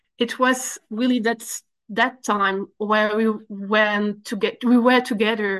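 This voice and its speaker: The woman's pitch is fairly high and her intonation fairly even. She speaks at a very slow pace against a quiet background. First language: French. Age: 30s. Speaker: recovery program member. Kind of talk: testimony. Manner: halting.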